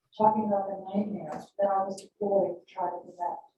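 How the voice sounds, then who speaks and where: Talking at a fairly quick pace, a woman speaks in a medium pitch. She has an American accent. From New York. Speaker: professor. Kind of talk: panel discussion. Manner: fast.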